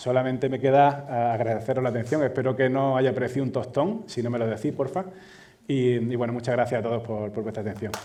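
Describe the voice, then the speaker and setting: A man with an Andalusian accent, medium pitch and a dark, mellow tone, with audible room echo. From Andalusia, Spain. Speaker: data manager, conference speaker. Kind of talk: conference keynote talk. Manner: halting, many fillers and repetitions.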